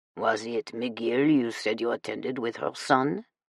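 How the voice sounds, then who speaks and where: A man puts on a growling character voice. His pitch sits in the medium range. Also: moderate pace, ordinary pitch variation, dry, close sound with no echo. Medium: read story. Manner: genial, watchful.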